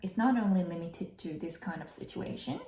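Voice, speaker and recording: With a Korean accent, a woman speaks at a moderate pace. Her pitch is fairly low, with ordinary variation. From South Korea. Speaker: vlogger and English learner working office jobs. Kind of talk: casual tutorial vlog. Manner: slightly halting, with fillers.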